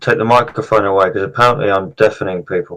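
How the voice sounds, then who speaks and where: A man with a British accent. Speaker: political commentator. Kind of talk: political discussion stream. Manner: loud.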